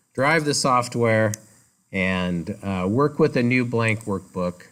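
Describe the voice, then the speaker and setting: A man speaks at a very slow pace and medium pitch with ordinary pitch variation. The recording is very clean, with a silent background. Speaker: college instructor. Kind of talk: lecture. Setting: classroom. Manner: loud.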